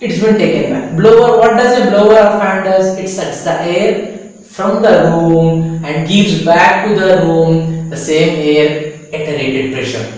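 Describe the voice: A man speaks at a high pitch with a slightly mellow tone and ordinary pitch variation. His pace is fairly slow, and there is strong room echo.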